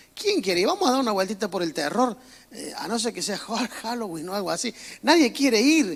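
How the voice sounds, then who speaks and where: A man's high-pitched voice with lively intonation, a fairly quick pace and a strong Córdoba Argentine accent. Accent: strong Cordoba Argentine. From Argentina, Córdoba. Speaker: pastor. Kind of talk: sermon. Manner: casual, humorous preaching.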